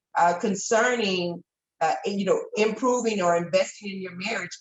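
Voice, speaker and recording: It is an ordinary speaking voice. The woman talks at a moderate pace with medium pitch and fairly even intonation. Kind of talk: testimonial.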